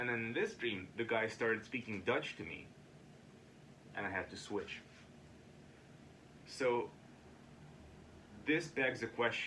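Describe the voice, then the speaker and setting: A man at medium pitch, speaking fairly slowly with ordinary pitch variation and long, frequent pauses. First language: Ukrainian or Russian. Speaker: video diarist. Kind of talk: casual monologue. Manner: halting.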